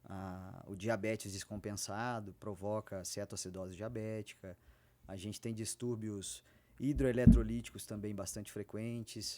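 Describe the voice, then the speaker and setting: Recorded very cleanly against a silent background, a man speaks at a fairly slow pace in a fairly low pitch, his tone dark and mellow and his loudness swinging widely. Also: fairly even intonation. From interior of Rio de Janeiro state, near Minas Gerais and Espírito Santo. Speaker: physician. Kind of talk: podcast interview.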